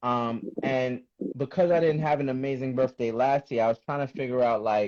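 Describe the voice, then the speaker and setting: A man's unremarkable speaking voice at medium pitch, moderate in pace, with fairly even intonation. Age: 30s. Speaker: rapper. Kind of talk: casual chat.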